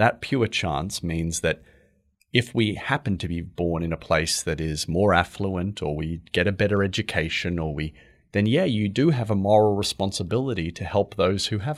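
This very clean recording with a silent background carries a normal speaking voice at a moderate pace, with ordinary pitch variation. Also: man, fairly low pitch for a man. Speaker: charity founder. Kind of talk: casual chat.

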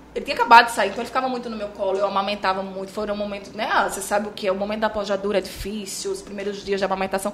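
Amid noticeable background noise, a woman talks at a very fast pace and medium pitch with monotone, flat intonation. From Bahia, Brazil (Chapada Diamantina), raised in Maceió. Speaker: journalist and TV presenter. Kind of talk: casual interview chat.

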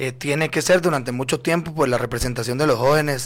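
Against a silent background in a very clean recording, a man with an ordinary speaking voice talks at a fairly quick pace with fairly even intonation. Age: 20s. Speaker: political candidate. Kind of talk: radio interview.

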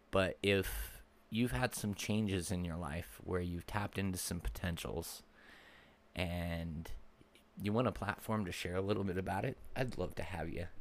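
A man with a very deep, low voice speaks at a moderate pace with ordinary pitch variation. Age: 30s. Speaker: podcast host and mindset coach. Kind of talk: solo podcast monologue.

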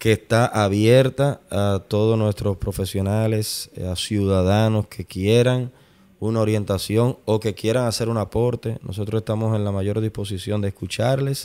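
On a very clean recording with a silent background, a man speaks at a fairly low pitch in a dark, mellow tone, with monotone, flat intonation and a fairly slow pace. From Dominican Republic, Santo Domingo. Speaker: architect and urban planning director. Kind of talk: interview. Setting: city hall office.

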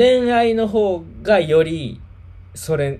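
A man with a Kansai accent and a dark, mellow tone. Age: 30s. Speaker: livestream host. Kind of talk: casual chat.

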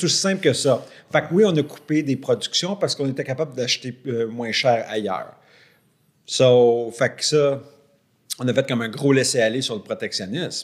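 A man with a Quebec accent speaks at a moderate pace in a fairly high pitch, with ordinary pitch variation and long, frequent pauses. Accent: Québécois French. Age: 40s. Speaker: podcast co-host. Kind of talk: casual chat.

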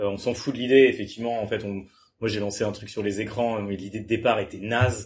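Over a quiet background, a man speaks fairly quickly in a fairly low, somewhat breathy, monotone voice with flat intonation. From France, Le Mans. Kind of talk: casual chat. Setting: startup incubator premises, Toulouse.

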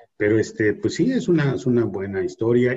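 A man's somewhat breathy voice at medium pitch. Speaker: podcast host. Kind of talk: casual chat.

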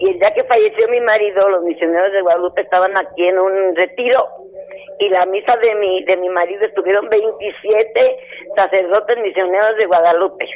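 Over noticeable background noise, a woman speaks at a moderate pace and medium pitch, her loudness very even and her intonation fairly even. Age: 70s. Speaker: caller, mission sponsor. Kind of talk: phone-in chat.

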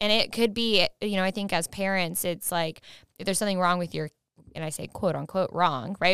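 A woman talks at a fairly quick pace in an ordinary speaking voice. Her pitch is medium with ordinary variation, on a very clean recording with a silent background. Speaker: podcast host. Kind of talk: casual interview chat.

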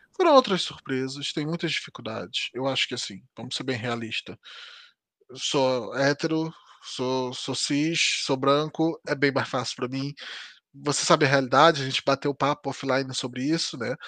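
A man's fairly high, bright, sharp voice in a Rio de Janeiro accent, fairly even in intonation, dry and close with no echo. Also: moderate pace. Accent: Brazilian Portuguese, carioca. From Brazil, Rio de Janeiro. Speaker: software developer and live streamer. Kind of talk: casual interview chat.

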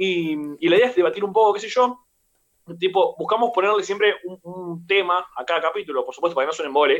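The speaker has a Rioplatense accent and ordinary pitch variation. The pace is very fast. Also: man, high pitch for a man. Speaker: podcast host. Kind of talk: casual chat. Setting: video call.

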